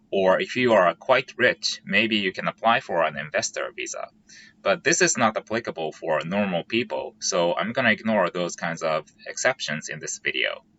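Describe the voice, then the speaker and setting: A man with a Japanese accent talks at a moderate pace. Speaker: software engineer and YouTuber. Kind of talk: vlog explainer.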